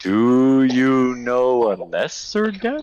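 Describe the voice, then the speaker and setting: Someone uses a put-on character voice pitched low-to-middle. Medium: actual play. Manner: deadpan.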